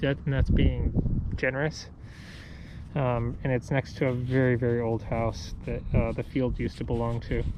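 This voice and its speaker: A man talks at a moderate pace in a medium-pitched voice with ordinary pitch variation. There is noticeable background noise. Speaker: metal detectorist. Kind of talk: casual talk to camera. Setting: outdoors.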